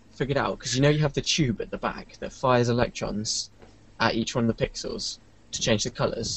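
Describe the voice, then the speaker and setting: This man's voice is medium in pitch and somewhat breathy. He moves at a fairly quick pace with ordinary pitch variation. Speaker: website founder and 3D artist. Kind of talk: casual chat.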